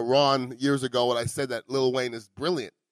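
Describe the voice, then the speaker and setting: With a Montreal accent, a man talks at a fairly quick pace in a dry, close sound with no echo. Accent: Canadian English, Montreal. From Montreal, Canada. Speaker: podcast host. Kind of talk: casual chat. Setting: restaurant.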